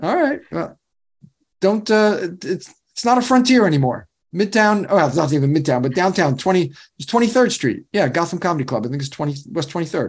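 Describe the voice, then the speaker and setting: With an American accent, a man talks at a fairly quick pace in a high voice full of very wide pitch swings. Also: very clean recording, silent background. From New York. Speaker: radio host. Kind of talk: scripted intro and casual interview. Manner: energetic, strong openings.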